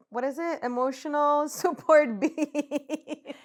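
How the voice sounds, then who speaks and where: A woman with a Spanish accent in a very clean recording with a silent background. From Puerto Rico. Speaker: podcast co-host, social entrepreneur. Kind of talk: casual chat.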